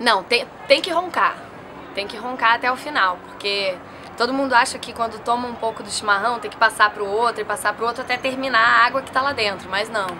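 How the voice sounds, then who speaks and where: Amid noticeable background noise, a woman with a fairly high pitch speaks at a fairly quick pace, with ordinary pitch variation and big swings in loudness. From southern Brazil, Rio Grande do Sul (Santa Cruz do Sul); Rio Grande do Sul, Brazil. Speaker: interviewee. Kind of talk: casual interview. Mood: relaxed, reflective. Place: garden.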